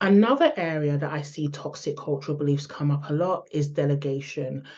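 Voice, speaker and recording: A woman's very deep, low voice in a London accent, at a fairly quick pace with fairly even intonation. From London, England. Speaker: public relations expert, speaker. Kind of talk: online summit talk. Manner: hesitant, many fillers.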